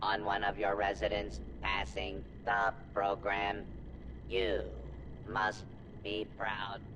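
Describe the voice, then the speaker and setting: A put-on character voice from a man, fairly low in pitch, very slow with long, frequent pauses, over loud background noise. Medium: video game. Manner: formal, precise.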